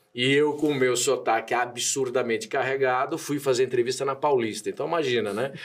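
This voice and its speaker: A man's medium-pitched voice with fairly even intonation and hardly any pauses. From interior of São Paulo state, Brazil (Matão). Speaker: lawyer and entrepreneur. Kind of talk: podcast interview. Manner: casual, with many fillers.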